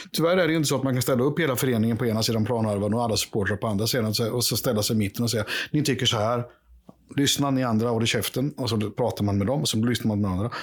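In a very clean recording with a silent background, a man talks at a very fast pace, medium pitch, ordinary pitch variation, and very even loudness. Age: 50s. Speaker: podcast panelist, longtime supporter. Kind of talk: casual chat.

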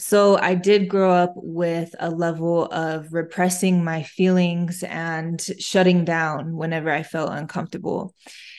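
Against a quiet background, a speaker with an American accent talks at a fairly slow pace in a monotone, flat intonation with hardly any pauses. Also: woman, fairly low pitch for a woman. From US Midwest, Flint, Michigan. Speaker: intuitive healer. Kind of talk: interview.

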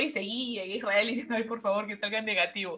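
A woman talking very fast in a fairly high pitch, with noticeable background noise. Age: 20s. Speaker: graduate student. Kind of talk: casual interview.

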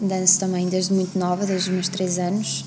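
Noticeable background noise fills the recording. Through it, a woman talks at a medium pitch. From Portugal. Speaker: singer. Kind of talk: interview. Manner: hesitant.

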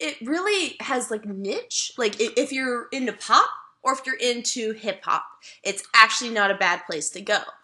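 At a moderate pace, a woman with a high pitch speaks in an animated tone with lively intonation. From Mississippi. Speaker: podcast host, journalist. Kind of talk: casual comedic chat. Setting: remote recording, cat nearby. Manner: animated, joking.

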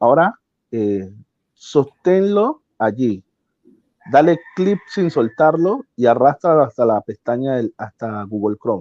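A very slow voice with very wide pitch swings in a dry, close sound with no echo. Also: man, medium pitch for a man. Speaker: tech helper explaining streaming tool. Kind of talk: tutorial over video call.

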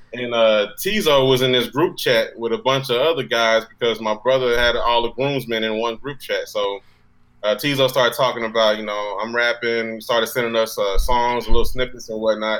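A man with an American accent has an unremarkable speaking voice at a medium pitch. His pace is moderate and his intonation fairly even. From Dallas, Texas. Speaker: rapper. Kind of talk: casual chat.

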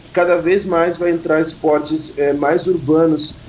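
A man speaks in a high pitch with monotone, flat intonation. Noticeable background noise runs underneath. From Pelotas, Rio Grande do Sul, Brazil. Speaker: rapper. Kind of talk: interview.

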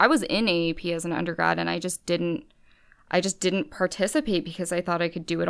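A woman with an unremarkable speaking voice and an American accent talks at a fairly quick pace, fairly low in pitch. Her intonation is fairly even, and the recording is very clean with a silent background. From California. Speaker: law student. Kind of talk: interview. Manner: casual, filler-heavy.

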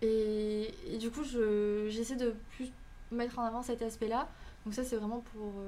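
A woman's fairly high, flat, monotone voice at a very slow pace, full of long, frequent pauses, over noticeable background noise. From Canada. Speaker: student and content creator. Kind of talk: podcast interview.

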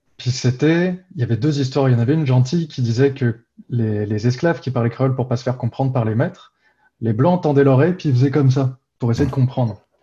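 A man's somewhat breathy, dark and mellow voice at a medium pitch, with ordinary pitch variation and a fairly quick pace. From Réunion. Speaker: university professor. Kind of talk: casual interview.

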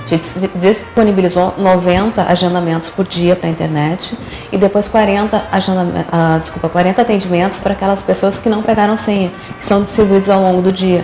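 At a moderate pace, the talking comes through noticeable background noise. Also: woman, medium pitch for a woman. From Porto Alegre, southern Brazil. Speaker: electoral office head. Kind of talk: interview.

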